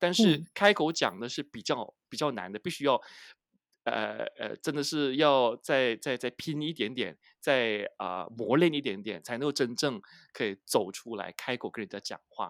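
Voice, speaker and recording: At a moderate pace and medium pitch, a man talks with lively intonation in a dry, close recording with no echo and a silent background. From Malaysia, Penang. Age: 40s. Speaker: advertising manager. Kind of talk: interview. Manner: halting, many fillers.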